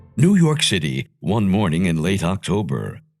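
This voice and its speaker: A man at a fairly slow pace with very wide pitch swings, music playing in the background. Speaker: audiobook narrator. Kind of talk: children's audiobook reading.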